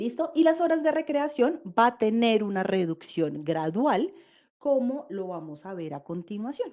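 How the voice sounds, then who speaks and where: A woman's voice, fairly high with a dark, mellow tone, swings very widely in pitch. Her loudness rises and falls sharply too. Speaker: labor law presenter. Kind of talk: webinar presentation. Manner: fast.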